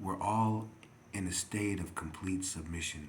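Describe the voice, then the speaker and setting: Somewhat breathy, a man speaks at a very slow pace amid audible room echo. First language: not English. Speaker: video blogger. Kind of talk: rambling monologue. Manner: halting, many fillers.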